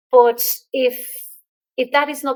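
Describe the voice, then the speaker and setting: A woman speaks at a moderate pace with a high pitch. The sound is dry and close, with no echo. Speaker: entrepreneur and LinkedIn expert. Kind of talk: podcast interview.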